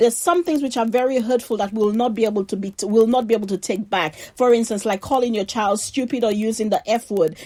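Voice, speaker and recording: A woman speaks in an animated tone at a fairly high pitch. She moves at a fairly quick pace with ordinary pitch variation. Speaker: faith podcast host. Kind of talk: motivational talk. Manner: loud.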